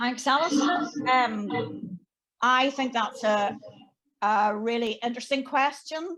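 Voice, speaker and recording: A woman's high, bright and sharp voice at a very slow pace, with long, frequent pauses, ordinary pitch variation and very even loudness. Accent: Irish. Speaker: bishop. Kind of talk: panel discussion.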